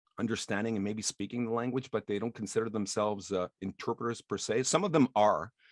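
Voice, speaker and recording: A man with a medium pitch talks at a very fast pace with hardly any pauses, in a dry, close sound with no echo. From Quebec. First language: French. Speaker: interpreter. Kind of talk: casual interview. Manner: hesitant with fillers.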